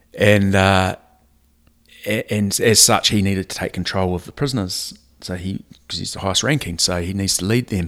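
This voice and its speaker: In a New Zealand accent, a man talks at a fairly low pitch with fairly even intonation. The recording is very clean, with a silent background. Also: moderate pace. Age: 40s. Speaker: rugby coach. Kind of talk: casual chat. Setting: at the host's house.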